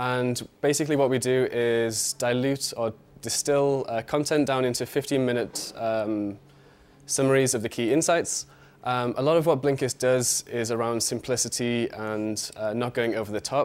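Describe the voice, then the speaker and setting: A man with a British accent at medium pitch, fairly even intonation and a moderate pace, on a very clean recording with a silent background. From UK. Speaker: marketing analyst. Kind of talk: conference talk. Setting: stage with audience. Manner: halting, filler-heavy.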